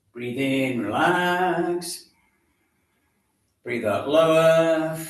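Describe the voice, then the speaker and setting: A man's fairly high voice at a very slow pace, with ordinary pitch variation and audible room echo. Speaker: exercise class instructor. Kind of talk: guided exercise class instruction.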